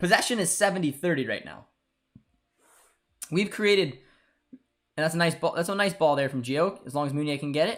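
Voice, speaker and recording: In a very clean recording with a silent background, a man with a Canadian accent speaks in a fairly high pitch and an animated tone, with ordinary pitch variation. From Canada. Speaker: football channel host. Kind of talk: live match watchalong commentary. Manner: repetitive filler-heavy speech.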